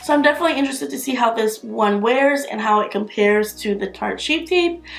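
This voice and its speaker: Noticeable background noise sits under a woman's voice. She talks at a very fast pace with very wide pitch swings. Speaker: beauty youtuber. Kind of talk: product review. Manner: casual, filler-heavy.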